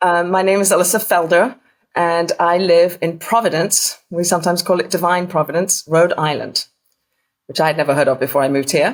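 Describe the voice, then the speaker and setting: With an English accent, a woman talks at a fairly quick pace, her fairly low pitch showing ordinary variation and her loudness very even. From England. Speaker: author and burial preparation volunteer. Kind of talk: podcast interview, personal story.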